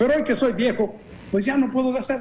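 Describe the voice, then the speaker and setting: There's a man speaking with audible room echo. Light background noise can be heard. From El Salvador. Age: 50s. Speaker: pastor. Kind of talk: interview. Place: office. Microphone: video call.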